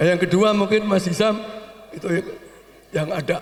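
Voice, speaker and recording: A man's high voice against noticeable background noise. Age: 70s. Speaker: family elder. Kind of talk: speech at family gathering.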